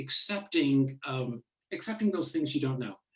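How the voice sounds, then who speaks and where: He speaks with a Midwestern accent. His voice is somewhat breathy. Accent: American Midwest. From US Midwest, Chicago. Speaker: author. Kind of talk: book launch Q&A talk. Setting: book launch event with audience. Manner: hesitant, many fillers.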